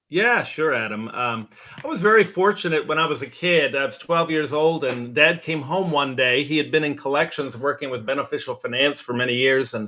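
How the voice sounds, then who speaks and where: Noticeable background noise surrounds a man speaking at a fairly quick pace with a fairly high pitch. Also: ordinary pitch variation, hardly any pauses. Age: 60s. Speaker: business executive. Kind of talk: interview. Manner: halting, many fillers.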